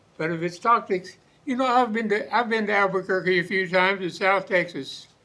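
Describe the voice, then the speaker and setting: A man's raised, projected voice, high-pitched with a bright, sharp tone, ordinary pitch variation and a moderate pace. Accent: rural Oklahoma. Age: 80s+. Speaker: local resident. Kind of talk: public comment at town meeting.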